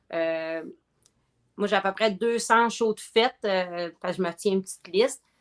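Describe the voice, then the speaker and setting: A woman speaks at medium pitch and a moderate pace with ordinary pitch variation, in a dry, close sound with no echo. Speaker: comedian and corporate event host. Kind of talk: casual chat. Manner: energetic.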